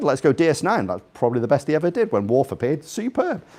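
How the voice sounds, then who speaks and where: A man speaks at a very fast pace with a slight Scouse accent, his tone animated and his pitch swinging very widely. The recording is very clean, with a silent background. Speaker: invited speaker. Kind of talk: talk to a live audience. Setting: room with audience.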